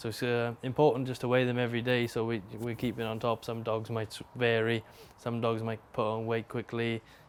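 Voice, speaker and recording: A medium-pitched man with a South Wales accent, in a flat monotone at a fairly quick pace. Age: 20s. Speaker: greyhound trainer. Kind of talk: casual interview talk. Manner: halting.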